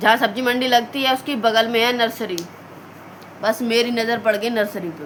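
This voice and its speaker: Speech unfolds at a fairly slow pace, broken by long, frequent pauses, with noticeable background noise behind it. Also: woman. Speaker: vlogger, mother. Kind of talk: casual vlog chat. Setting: at home, in a room. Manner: quiet so as not to wake family.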